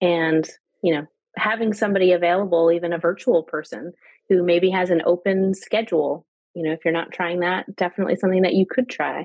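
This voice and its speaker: Here is a woman with a plain, everyday voice. She talks at a fairly quick pace, with fairly low pitch and fairly even intonation. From Canada. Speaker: sales coach. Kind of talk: casual chat.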